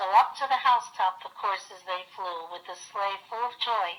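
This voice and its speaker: A woman in a normal speaking voice, medium-pitched, moderately paced, with ordinary pitch variation. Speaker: grandmother reading aloud. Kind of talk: storybook poem reading.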